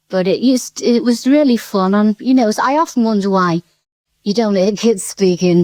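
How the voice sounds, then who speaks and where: Recorded dry and close with no echo, a woman speaks in a dark, mellow tone at a moderate pace with ordinary pitch variation. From Seaforth, Merseyside. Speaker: interviewee on local radio. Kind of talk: interview answer. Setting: at home. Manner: enthusiastic, cheerful.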